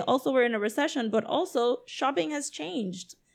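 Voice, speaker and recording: With a Puerto Rican accent, a high-pitched woman talks at a fairly quick pace. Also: very clean recording, silent background. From Puerto Rico, San Juan. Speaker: comics creator and festival organizer. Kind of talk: casual chat.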